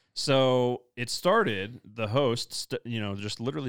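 This is a man with an ordinary speaking voice, medium in pitch, showing ordinary pitch variation. The recording is very clean with a silent background and a dry, close sound with no echo. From US Midwest. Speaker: pastor. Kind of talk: casual chat.

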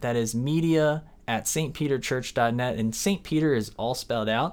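An ordinary speaking voice from a man, moderate in pace, with ordinary pitch variation, in a very clean recording against a silent background. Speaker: podcast host. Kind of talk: casual interview.

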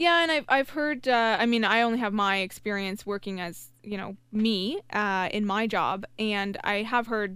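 A woman speaks at a fairly high pitch in a bright, sharp tone with ordinary pitch variation. Her pace is fairly slow with hardly any pauses, in a very clean recording with a silent background. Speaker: engineer. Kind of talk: casual chat.

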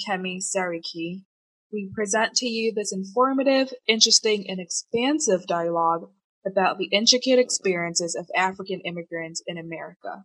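A woman talks at a moderate pace in an ordinary speaking voice, medium in pitch with ordinary pitch variation, with a dry, close sound and no echo. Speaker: podcast intro/outro voice. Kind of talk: scripted intro.

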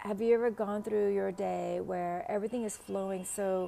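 A woman speaks with a Vietnamese accent. Her pace is moderate. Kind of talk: casual solo podcast talk. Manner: halting, many fillers.

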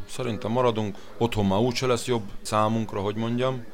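Speech at a moderate pace comes with audible room echo. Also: man. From Hungary. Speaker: slaughterhouse worker. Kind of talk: interview. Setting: restaurant.

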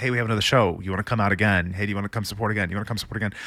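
A man with an American accent speaks in a fairly low pitch, the sound dry and close with no echo. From Peoria, Illinois and Beirut, Lebanon. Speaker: singer-songwriter. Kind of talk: casual interview chat.

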